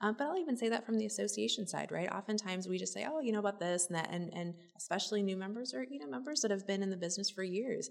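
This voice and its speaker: Speaking very fast with hardly any pauses, a woman with an American accent uses medium pitch and lively intonation. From Minnesota. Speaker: real estate association executive. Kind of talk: interview.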